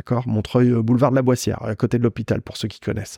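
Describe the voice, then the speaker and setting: The recording is dry and close with no echo, carrying a man's medium-pitched voice with a dark, mellow tone. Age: 40s. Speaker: personal finance and investing podcaster. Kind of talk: casual solo monologue.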